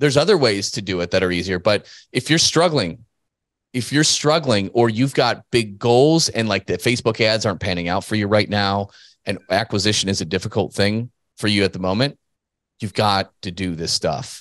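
A man speaks at a fairly low pitch with a fairly bright tone. His pace is moderate and his pitch variation ordinary.

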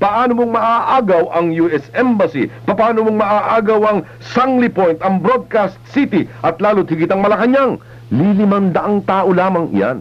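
Lively in intonation yet very even in loudness, a man with a high voice speaks at a fairly slow pace. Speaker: radio news commentator. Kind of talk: radio news commentary. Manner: emphatic, rhetorical. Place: studio. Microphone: old recording.

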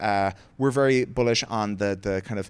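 A man with an Irish accent speaks at a moderate pace, his fairly low pitch held in fairly even intonation. Light background noise can be heard. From Limerick, Ireland. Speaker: tech company co-founder and president. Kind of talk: onstage interview answer. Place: stage. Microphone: handheld.

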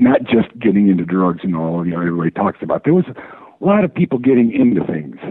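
Over noticeable background noise, a man with an American accent speaks at a very fast pace and a fairly low pitch, with lively intonation and hardly any pauses. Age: 60s. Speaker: caller. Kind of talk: call-in conversation. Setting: phone call over DSL line.

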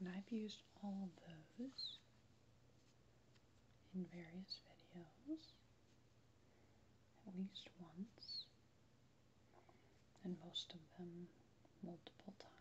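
Soft-spoken, very slow delivery with long, frequent pauses amid noticeable background noise. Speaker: relaxation video creator. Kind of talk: soft-spoken relaxation talk. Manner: soft, hushed ASMR speaking voice.

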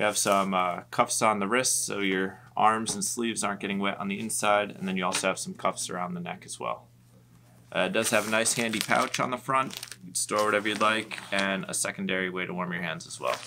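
A man talks at a fairly quick pace in a fairly low pitch. Background noise is noticeable. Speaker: shop staff gear reviewer. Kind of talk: product walkthrough. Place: shop. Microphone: camera far.

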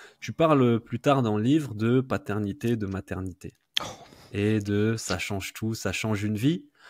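In an unremarkable speaking voice, a man speaks at a fairly low pitch and fairly slow pace with ordinary pitch variation, in a dry sound with no echo against a quiet background. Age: 30s. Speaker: podcast host. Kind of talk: interview. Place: home room. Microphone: studio mic.

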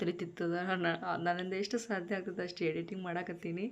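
Her intonation stays flat and monotone. The female speaker's pitch is medium. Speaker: vlogger. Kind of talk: casual vlog narration and cooking tutorial. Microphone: no microphone, voice not clear.

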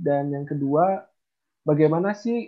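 In a quiet background, a man with a fairly high pitch talks at a fairly slow pace. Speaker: software company CEO; presenter. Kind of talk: book review presentation. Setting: video call. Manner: calm and even, not explosive. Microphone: unstable internet connection; video call.

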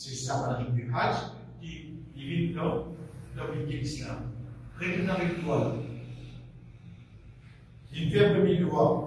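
A man talks at a fairly slow pace with ordinary pitch variation. His tone is slightly mellow, and strong room echo surrounds it.

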